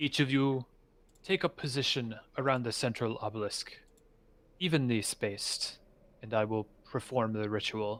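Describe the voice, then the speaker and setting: In a put-on character voice, a man speaks at a moderate pace and medium pitch, with long, frequent pauses. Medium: actual play. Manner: reverent, obsequious.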